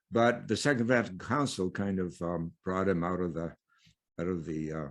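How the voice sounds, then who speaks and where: A man speaks at a very deep, low pitch. The background is quiet. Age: 80s+. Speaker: theologian and priest. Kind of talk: interview. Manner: halting, many fillers.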